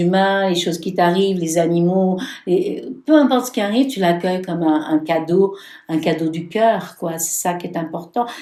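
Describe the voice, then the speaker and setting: A woman speaks at a medium pitch and moderate pace in a dark, mellow tone. Her pitch varies in an ordinary way, with audible room echo. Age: 70s. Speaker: tarot reader and spiritual practitioner. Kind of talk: podcast interview, life story.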